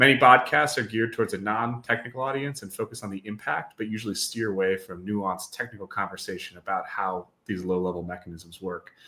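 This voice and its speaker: A man with an American accent talks very fast with hardly any pauses, in a fairly low pitch and a bright, sharp tone. His pitch varies in an ordinary way while his loudness swings a lot. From US Midwest, Wisconsin. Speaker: podcast host. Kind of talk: interview podcast. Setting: live stream.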